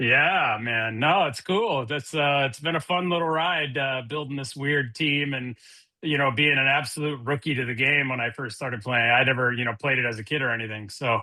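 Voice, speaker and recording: A man with an unremarkable speaking voice and an American accent talks at a moderate pace with hardly any pauses, medium pitch and ordinary pitch variation. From Minnesota, US Midwest. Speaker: podcast guest, video game player. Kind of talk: casual chat.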